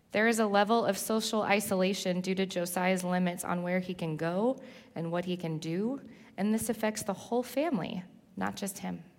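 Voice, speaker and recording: Here a woman with a Californian accent talks at a medium pitch. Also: ordinary pitch variation, moderate pace. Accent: Californian American English. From Southern California. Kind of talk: sermon testimony.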